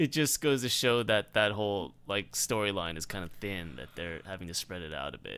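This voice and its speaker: At a moderate pace with hardly any pauses, the voice shows vocal fry, lively intonation, big swings in loudness and a bright, sharp tone, on a very clean recording with a silent background. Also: man, fairly low pitch for a man. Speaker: podcast co-host. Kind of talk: casual chat.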